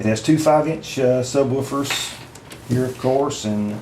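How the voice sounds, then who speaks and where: A man with a Southern US accent and fairly high pitch talks at a fairly slow pace with fairly even intonation. Noticeable background noise and audible room echo fill the recording. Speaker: product reviewer. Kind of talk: product review. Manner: halting, many fillers.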